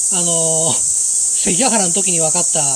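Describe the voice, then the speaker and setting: The words come at a very fast pace, with noticeable background noise behind them. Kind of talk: casual vlog chat. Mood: joking, playful. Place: forest. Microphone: phone near.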